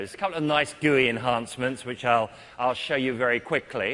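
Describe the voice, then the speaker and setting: A man speaks with a British accent. His tone is bright and sharp. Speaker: IT consultant and conference speaker. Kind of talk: technical conference talk. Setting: stage with audience.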